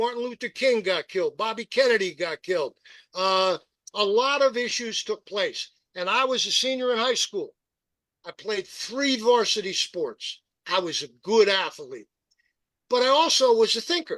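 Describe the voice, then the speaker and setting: Over a quiet background, a man's extremely high, bright, sharp voice carries lively intonation, recorded dry and close with no echo. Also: moderate pace. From US, rural Pennsylvania (Perry County). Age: 70s. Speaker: political activist and radio host. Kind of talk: podcast interview. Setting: live-streamed podcast. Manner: emphatic.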